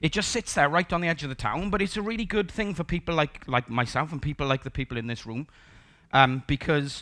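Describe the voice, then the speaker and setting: A man with a Welsh accent speaks at a fairly quick pace in a bright, sharp tone with ordinary pitch variation. The recording is very clean, with a silent background. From South Wales, Port Talbot. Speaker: conference speaker, software developer. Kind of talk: conference talk. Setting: stage with audience. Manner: casual, conversational.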